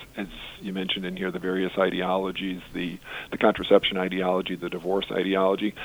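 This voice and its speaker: Someone with an American accent talks at a very fast pace. Noticeable background noise runs beneath the speech. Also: man. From Massachusetts. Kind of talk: interview. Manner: halting.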